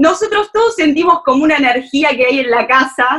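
A woman's high voice at a moderate pace, with very wide pitch swings. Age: 30s. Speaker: listener, mother. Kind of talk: casual chat. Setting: video call.

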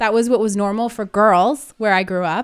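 Recorded very cleanly against a silent background, a woman with an American accent speaks at a fairly quick pace and medium pitch. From US, Northern California. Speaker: podcast co-host, business coach. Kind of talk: casual chat.

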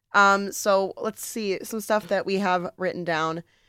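Recorded very cleanly with a silent background and a dry, close sound with no echo, a woman speaks fairly slowly in a bright, sharp tone at medium pitch with ordinary pitch variation. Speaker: podcast host. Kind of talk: casual chat.

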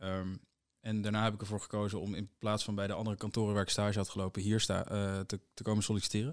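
A fairly low-pitched man at a fairly quick pace, on a very clean recording with a silent background. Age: young. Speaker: corporate lawyer. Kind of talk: casual interview.

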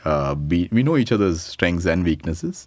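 A man speaks at a very deep, low pitch with ordinary pitch variation. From Dubai, Indian family. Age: 40s. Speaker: startup CEO. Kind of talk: interview.

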